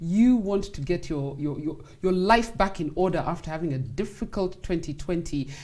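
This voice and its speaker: A woman's fairly low, dark, mellow voice with lively intonation at a moderate pace over a quiet background. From Kenya. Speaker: sports talk show host. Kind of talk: interview. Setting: studio. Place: studio. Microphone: lapel.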